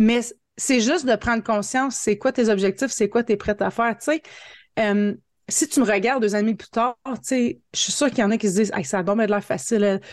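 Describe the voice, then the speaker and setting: In an Ontario accent, a woman with a fairly high pitch speaks at a fairly quick pace with ordinary pitch variation, the sound dry and close with no echo against a quiet background. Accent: Franco-Ontarian French. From northern Ontario, Franco-Ontarian (Hearst). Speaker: marketing coach and entrepreneur. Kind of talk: interview. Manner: animated.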